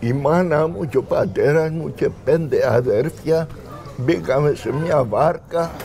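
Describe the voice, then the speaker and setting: Noticeable background noise runs behind this man. His pace is very slow. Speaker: local villager. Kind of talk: interview, casual chat.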